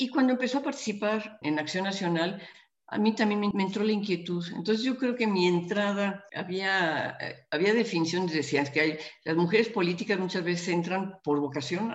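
Her pitch is fairly low for a woman. She talks at a moderate pace with lively intonation. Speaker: politician. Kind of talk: interview. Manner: halting.

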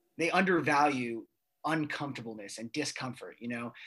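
In a plain, everyday voice, a man talks at a moderate pace with medium pitch and ordinary pitch variation, on a very clean recording with a silent background. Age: 20s. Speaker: student athlete and podcaster. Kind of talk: casual chat.

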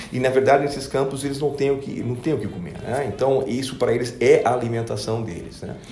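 A man talks at a fairly quick pace with hardly any pauses, his pitch medium and his intonation fairly even. Background noise is noticeable, and there's audible room echo. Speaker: business executive. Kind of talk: interview. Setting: company office.

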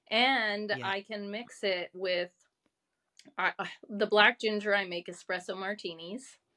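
Using an ordinary speaking voice, a woman with an American accent talks at a fairly slow pace and medium pitch, with fairly even intonation. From United States. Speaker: non-alcoholic beverage consultant, military veteran. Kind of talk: podcast interview. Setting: remote call.

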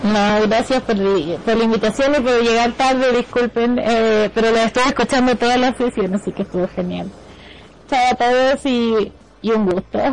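A woman with a slight Chilean accent at a fairly high pitch, a moderate pace, fairly even intonation and very even loudness, over noticeable background noise. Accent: Chilean, barely noticeable. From Chile, Concepción. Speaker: radio show guest. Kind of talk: casual chat.

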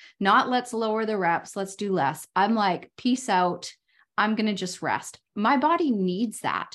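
Speaking at a fairly slow pace, a woman with a fairly high pitch and lively intonation has an unremarkable speaking voice. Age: 50s. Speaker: podcast host and life coach. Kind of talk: casual interview chat.

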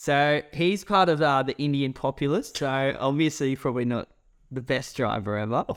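Speaking with an Australian accent, a man with a fairly high pitch keeps a moderate pace and ordinary pitch variation. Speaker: podcast co-host. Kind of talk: casual chat.

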